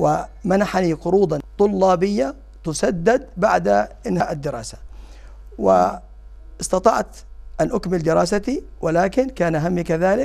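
The background stays quiet. Against it, a man delivers his words very slowly. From Jordan, Amman; Jordan. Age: 50s. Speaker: parliamentary candidate; candidate. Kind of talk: interview. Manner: halting; formal. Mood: calm, earnest. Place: studio. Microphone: lapel.

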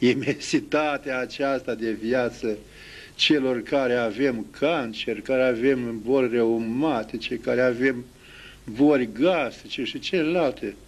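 Speech moves at a very slow pace. The pitch shifts in an ordinary way. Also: man. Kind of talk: interview answer. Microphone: handheld.

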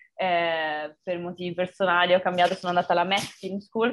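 Fairly quick speech from a woman. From Veneto, Italy (Montebelluna); Veneto, Italy. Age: 20s. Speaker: film director; interviewee. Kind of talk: interview. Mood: cheerful, smiling. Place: home room. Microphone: video call.

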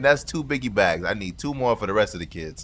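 Noise is noticeable in the background. The voice belongs to a man. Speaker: gaming YouTuber. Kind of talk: casual gaming chat with friends. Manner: animated.

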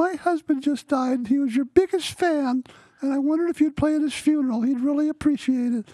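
Using a put-on character voice, a woman with a high pitch talks at a fairly quick pace. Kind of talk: storytelling, quoting another person's words.

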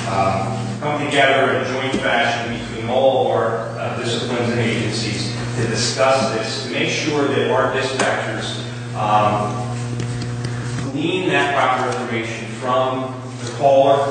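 A man talks at a fairly slow pace. Strong room echo and noticeable background noise surround him. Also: fairly even intonation. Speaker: official reporting to committee. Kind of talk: meeting report. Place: hall.

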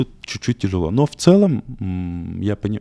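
A man speaks at a fairly slow pace in a fairly low, dark, mellow voice, the sound dry and close with no echo on a very clean recording with a silent background. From Turkmenistan, later Moscow. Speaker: urologist. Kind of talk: interview.

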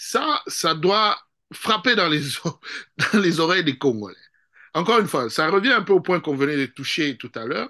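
Speaking at a moderate pace with long, frequent pauses over a quiet background, a man with a high pitch and a bright, sharp tone swings his pitch very widely. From DR Congo. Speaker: political analyst. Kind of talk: political interview. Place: home room. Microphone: video call.

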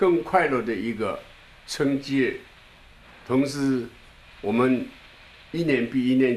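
In a room with audible echo, a man speaks at a very slow pace with ordinary pitch variation. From Shanghai, China. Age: 80s+. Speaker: elderly political supporter; interviewee. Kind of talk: new year address. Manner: halting. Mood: earnest, encouraging. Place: home room. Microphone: handheld.

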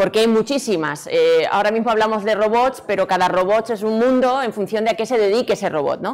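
Hardly pausing, a woman speaks at a fairly quick pace and a fairly high pitch. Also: ordinary pitch variation. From Extremadura, Spain (Badajoz); Extremadura, Spain. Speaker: robotics researcher and lecturer; lecturer. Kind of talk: conference talk. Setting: stage with audience. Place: hall.

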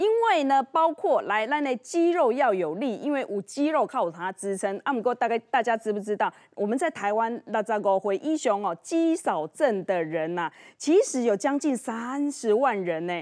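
Against a quiet background, a woman speaks at a moderate pace. Her fairly high pitch swings very widely. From Taiwan. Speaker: TV show host. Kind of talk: TV cooking and health show hosting. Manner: animated. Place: studio. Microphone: lapel.

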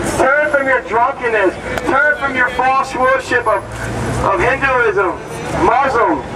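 A man's fairly slow delivery competes with noticeable background noise. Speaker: street preacher. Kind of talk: street preaching to passersby. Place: street.

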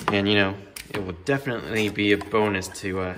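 Against noticeable background noise, a man's voice comes through at a fairly low pitch. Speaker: hockey card YouTuber. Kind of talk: card break commentary. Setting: new home, unfurnished room. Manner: casual. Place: home room. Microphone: room echo; phone near.

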